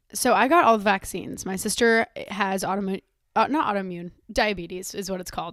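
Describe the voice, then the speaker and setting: A woman is speaking here. She talks at a very fast pace. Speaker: podcast host. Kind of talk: casual chat.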